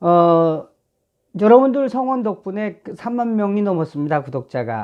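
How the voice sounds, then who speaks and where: Very wide pitch swings and a fairly slow pace, with a North Korean accent. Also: man, high pitch for a man. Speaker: film director and YouTuber. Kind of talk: casual commentary vlog. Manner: hesitant, filler-heavy.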